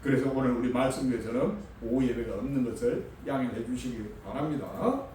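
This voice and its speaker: Talking fairly quickly at a medium pitch, a man is heard with noticeable background noise and audible room echo. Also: ordinary pitch variation. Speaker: pastor. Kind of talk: sermon. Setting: church. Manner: halting, stumbling over words.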